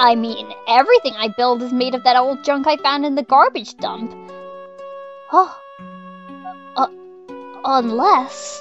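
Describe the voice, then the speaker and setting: A female-sounding voice speaks at a moderate pace in a high-pitched put-on character voice, with clear music in the background. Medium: dub. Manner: stammering, nervous, hesitant.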